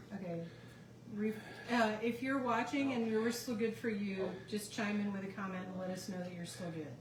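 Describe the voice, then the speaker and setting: Moderate-paced speech from a woman at a medium pitch, its pitch varying in an ordinary way, amid audible room echo and noticeable background noise. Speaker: tea shop owner demonstrating teas. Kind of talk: live stream demo. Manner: loud.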